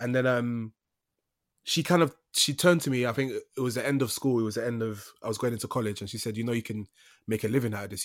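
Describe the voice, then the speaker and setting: Very clean recording, silent background, and a man with a London accent at a very fast pace with fairly even intonation. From East London. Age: young. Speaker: actor. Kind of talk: casual chat.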